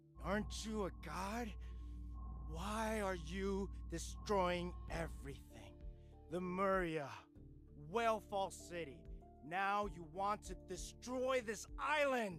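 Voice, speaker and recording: Clear music plays in the background as the speaker puts on a character voice. The pace is fairly slow, with long, frequent pauses. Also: man. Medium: video game. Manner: angry, strained.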